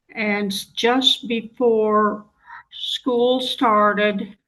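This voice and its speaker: In an American accent, a woman with a fairly high pitch speaks in a monotone, flat intonation. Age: 80s+. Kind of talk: interview answer. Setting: video call.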